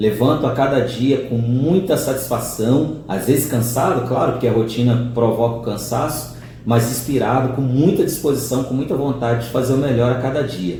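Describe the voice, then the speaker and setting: A man at medium pitch and a moderate pace, with fairly even intonation and hardly any pauses, amid noticeable background noise and audible room echo. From Minas Gerais, Brazil (Ipatinga). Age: 40s. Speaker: teacher of the blind. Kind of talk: interview. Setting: seated beside the interviewer, on camera.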